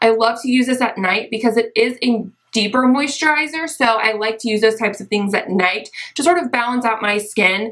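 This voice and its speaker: Moderately paced speech from a woman, ordinary in pitch variation, amid noticeable background noise. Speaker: beauty YouTuber. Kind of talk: casual talk to camera.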